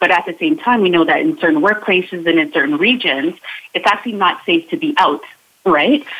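A woman's medium-pitched voice with very wide pitch swings at a fairly quick pace. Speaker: inclusion coach. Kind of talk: radio interview, explanatory.

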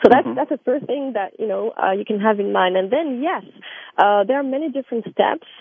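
A woman with a French accent and fairly high pitch speaks at a fairly quick pace with lively intonation. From France. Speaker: tea company manager. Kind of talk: interview.

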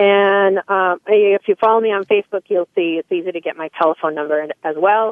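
Her pace is fairly quick, with hardly any pauses. The woman's medium-pitched voice keeps a fairly even intonation. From Massachusetts (Salem). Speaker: former television host and speaking coach. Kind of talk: interview testimony. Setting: radio show. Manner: hesitant with many fillers.

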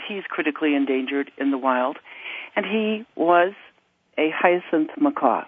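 An ordinary speaking voice with an American accent moves at a fairly slow pace, its intonation lively. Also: woman. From United States. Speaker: parrot rescue nonprofit CEO. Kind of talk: radio interview.

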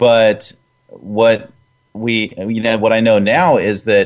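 A man talks in a plain, everyday voice. His pitch is medium and his pace fairly slow. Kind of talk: radio host patter: friendly co-host banter, agreeing and supplying cues. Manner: easygoing, supportive, relaxed and genial, with short affirming replies.

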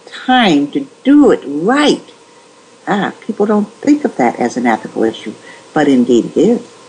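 Against noticeable background noise, a woman speaks at a fairly slow pace in a medium pitch with very wide pitch swings. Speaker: nurse ethics author. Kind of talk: interview.

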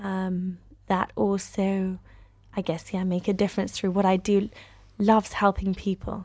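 Against a quiet background, a woman with a British accent talks at a moderate pace in a medium pitch. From United Kingdom. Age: 30s. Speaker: actress and screenwriter. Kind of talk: interview.

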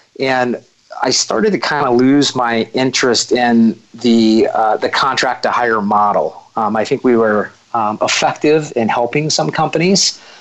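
A man's medium-pitched voice at a fairly slow pace, very even in loudness, with ordinary pitch variation and noticeable background noise. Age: 40s. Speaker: recruiting firm founder. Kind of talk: interview conversation. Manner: halting, many fillers.

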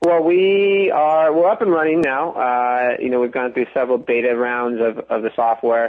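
In an ordinary speaking voice with an American accent, a medium-pitched man talks at a moderate pace with lively intonation, very even loudness and hardly any pauses. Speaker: sports business executive. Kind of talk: interview.

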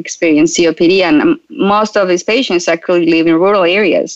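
With a Spanish accent, a woman speaks at a medium pitch and moderate pace with lively intonation, the sound dry and close with no echo. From Colombia. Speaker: startup founder and physician. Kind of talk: interview.

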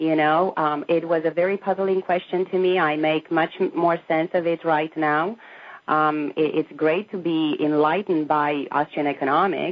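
At a moderate pace, a woman with a Romanian accent speaks in a very deep, low pitch. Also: fairly even intonation. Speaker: emigrant from communist Romania. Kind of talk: interview.

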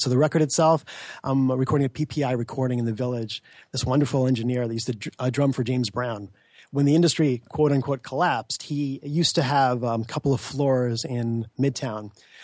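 Very fast speech from a man at medium pitch, fairly even intonation and a quiet background. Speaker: magazine publisher and musician. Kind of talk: radio interview. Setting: studio.

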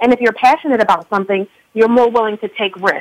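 In an American accent, a woman uses an ordinary speaking voice, pitched fairly high with fairly even intonation. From Philadelphia, US.

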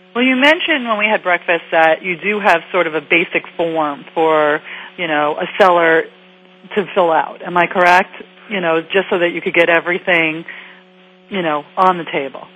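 Ordinary pitch variation runs through speech at a moderate pace. Behind it sits noticeable background noise. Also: woman, fairly low pitch for a woman. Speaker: radio talk show host. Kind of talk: radio interview. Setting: studio.

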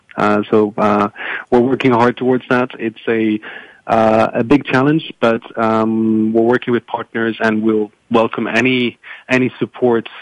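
With a French accent, a man speaks at a medium pitch and a fairly slow pace, his intonation monotone and flat, his loudness very even, and the sound dry and close with no echo. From France. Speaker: foundation program manager. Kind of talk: panel discussion. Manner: halting.

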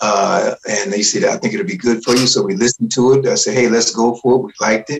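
With an unremarkable speaking voice, a man of medium pitch speaks at a moderate pace with lively intonation. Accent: American. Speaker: band leader and radio voice. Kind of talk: radio interview, casual chat. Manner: relaxed, chatty, anecdotal.

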